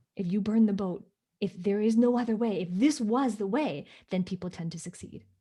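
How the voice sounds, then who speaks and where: A woman talks at a fairly quick pace in a medium pitch, somewhat breathy and dark and mellow in tone. Her pitch varies in an ordinary way. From Hong Kong. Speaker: business coach. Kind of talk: interview. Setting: livestream video call.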